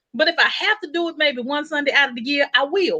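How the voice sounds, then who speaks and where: A woman with a high pitch and a Texan accent speaks in a raised, projected voice. Her tone is animated, bright and sharp, with lively intonation. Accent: Texan Southern US. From Texas. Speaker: panel speaker. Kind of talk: panel discussion. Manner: loud.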